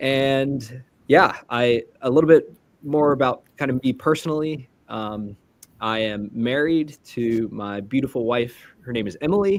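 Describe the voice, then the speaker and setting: At a fairly slow pace, a man with an American accent uses a normal speaking voice, medium pitch and ordinary pitch variation. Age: 20s. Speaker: immigration consultant. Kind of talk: interview.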